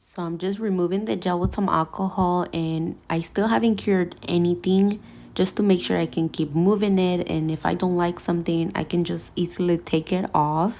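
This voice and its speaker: A woman speaks at a moderate pace with hardly any pauses. Her fairly low, dark, mellow voice keeps fairly even intonation. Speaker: nail technician. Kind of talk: tutorial voiceover. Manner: soft-spoken.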